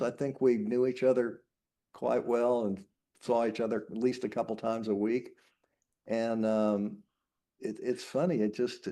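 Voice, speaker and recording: A man with an American accent speaks at a moderate pace. His pitch is medium and his tone dark and mellow. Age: 70s. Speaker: retired real estate developer and actor. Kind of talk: casual interview chat.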